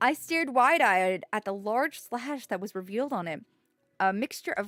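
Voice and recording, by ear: Reading aloud in a natural voice with lively intonation over a quiet background.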